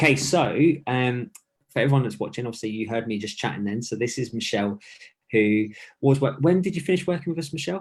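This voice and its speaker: A man talks at a very fast clip with a British accent. His intonation is lively and his voice somewhat breathy. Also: medium pitch for a man. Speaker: fitness coach. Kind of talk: live-streamed interview. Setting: home, live video stream. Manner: quiet.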